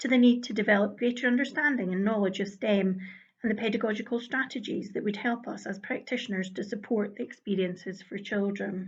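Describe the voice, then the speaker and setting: A woman with a Scottish accent, fairly high-pitched and somewhat breathy, fairly quick with fairly even intonation, plus audible room echo. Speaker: early years education lead. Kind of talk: conference presentation. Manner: formal.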